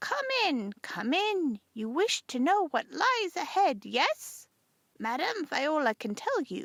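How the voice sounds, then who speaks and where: Her put-on character voice sounds female, sits high, and swings very widely in pitch at a fairly slow pace. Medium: read story. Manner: mysterious, theatrical.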